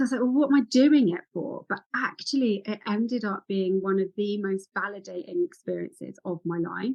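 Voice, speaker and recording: This woman speaks at a medium pitch and a fairly quick pace, with lively intonation and hardly any pauses. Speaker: women's health and ADHD practitioner. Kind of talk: interview. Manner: fast.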